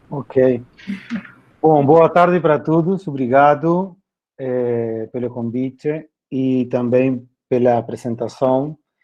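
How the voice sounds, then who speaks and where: A man with a Spanish accent at a medium pitch, very slow pace, ordinary pitch variation and long, frequent pauses. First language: Spanish (speaking Portuguese). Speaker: philosophy teacher. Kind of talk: workshop presentation.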